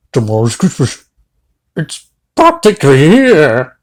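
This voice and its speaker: A man does a put-on character voice, pitched fairly high and swinging very widely in pitch. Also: fairly slow pace. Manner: snarling, sneering.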